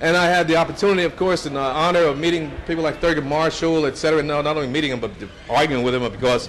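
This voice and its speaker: Over noticeable background noise, a man with an American accent and a fairly high pitch talks at a very fast pace. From New Jersey. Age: 70s. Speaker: state politician and civil rights activist. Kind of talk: speech to an audience. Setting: brunch event with audience. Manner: conversational, with many fillers and repetitions.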